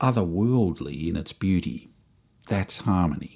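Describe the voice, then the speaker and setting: A man's fairly slow speech in an Australian accent, on a very clean recording with a silent background. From Australia, Melbourne suburbs. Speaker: podcast host and musician. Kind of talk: scripted comedic monologue.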